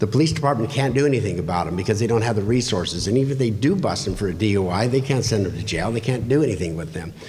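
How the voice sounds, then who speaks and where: A medium-pitched male voice with lively intonation and audible room echo. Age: 60s. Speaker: political candidate. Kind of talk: candidate forum answer. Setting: public library meeting room.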